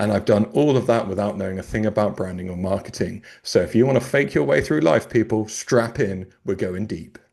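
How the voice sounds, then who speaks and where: Hardly pausing, a man with a British accent talks at a fairly quick pace. His pitch varies in an ordinary way over a quiet background. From UK. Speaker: brand strategist and podcast host. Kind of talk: panel discussion. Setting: video call. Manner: jokey, playful.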